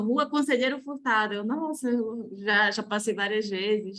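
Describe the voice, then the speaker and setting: A woman speaks with a Belém accent. Her pitch varies in an ordinary way. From Belém, Pará, northern Brazil. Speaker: architecture researcher, doctoral student. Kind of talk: academic conference Q&A comment.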